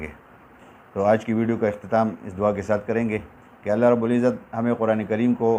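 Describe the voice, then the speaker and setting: A man with a fairly low pitch talks in an ordinary speaking voice. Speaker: Quran reciter and teacher. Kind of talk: religious talk to viewers. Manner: calm, respectful.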